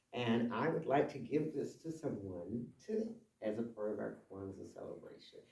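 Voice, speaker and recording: A man at a moderate pace, with audible room echo. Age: 70s. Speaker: shop owner and community presenter. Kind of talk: community talk. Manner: animated.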